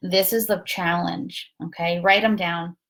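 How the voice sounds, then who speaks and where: Ordinary pitch variation marks a woman's plain, everyday voice as she talks at a moderate pace. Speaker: spiritual talk host. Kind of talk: casual livestream talk. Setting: Facebook live from a guest room.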